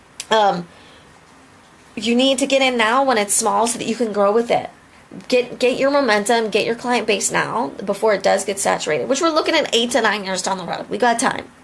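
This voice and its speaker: Noticeable background noise sits behind a woman's fairly high voice. She talks at a fairly quick pace with an animated tone. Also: ordinary pitch variation. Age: 30s. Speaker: lip cosmetics distributor. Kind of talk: motivational live video. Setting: live video.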